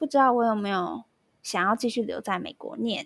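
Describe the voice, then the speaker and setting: On a very clean recording with a silent background, a woman with a fairly high pitch speaks at a moderate pace. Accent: Taiwanese. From Taiwan. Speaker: music graduate, former exchange student. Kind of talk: casual interview.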